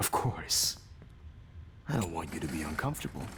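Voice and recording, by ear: A man's put-on character voice, extremely low in pitch and fairly bright in tone, at a moderate pace with big pitch swings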